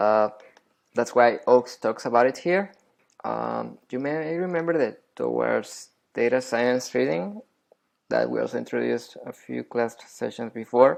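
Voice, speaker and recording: This man speaks with a non-native accent. His pace is fairly slow. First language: not English. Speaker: science educator. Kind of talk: tutorial. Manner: hesitant, many fillers; casual.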